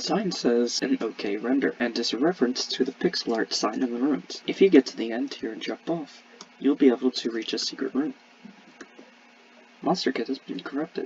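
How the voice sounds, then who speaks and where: The pace is fairly quick, with ordinary pitch variation. Noticeable background noise runs underneath. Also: man, medium pitch for a man. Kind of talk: game map walkthrough narration. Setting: home, construction noise.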